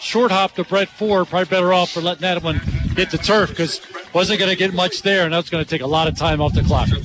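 A man's high-pitched voice at a very fast pace, with very even loudness, fairly even intonation and noticeable background noise. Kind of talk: live commentary.

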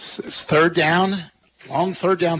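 A man speaks at a moderate pace in a high voice over noticeable background noise. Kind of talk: live play-by-play football commentary. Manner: brisk, clipped, steady play-by-play delivery.

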